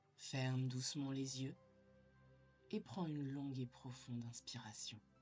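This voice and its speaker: With music playing behind her, a woman speaks in a calm tone at a very deep, low pitch, with ordinary pitch variation and a fairly slow pace. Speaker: sophrologist. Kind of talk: guided sleep meditation. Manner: slow, calm.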